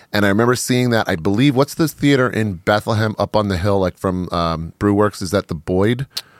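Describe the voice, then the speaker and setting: With hardly any pauses, a man talks at a fairly quick pace with ordinary pitch variation, the sound dry and close with no echo. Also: fairly low pitch for a man. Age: 40s. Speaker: podcast host. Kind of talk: casual chat. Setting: studio.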